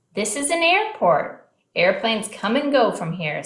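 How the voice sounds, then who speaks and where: A woman uses a put-on character voice with a fairly high pitch. She speaks at a moderate pace. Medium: read story.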